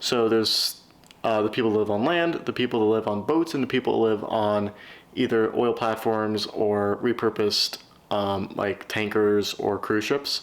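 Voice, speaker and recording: The speaker mumbles at a moderate pace, with fairly even intonation and very even loudness. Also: man, medium pitch for a man. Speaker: vlogger writing a novel. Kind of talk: casual vlog. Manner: mumbling.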